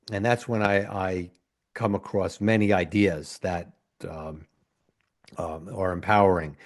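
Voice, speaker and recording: A man with an American accent, very deep and low in pitch, fairly slow and fairly even in intonation, over a quiet background. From US Northeast (New Haven, Connecticut). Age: 60s. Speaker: physician podcast host. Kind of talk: solo podcast monologue. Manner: halting, with frequent fillers.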